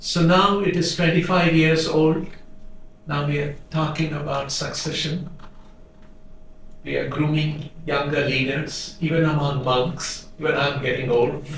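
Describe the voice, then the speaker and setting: The speech is fairly slow with fairly even intonation. Noticeable background noise and audible room echo surround it. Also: man, fairly high pitch for a man. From India. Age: 60s. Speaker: monk and charity leader. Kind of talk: talk to audience.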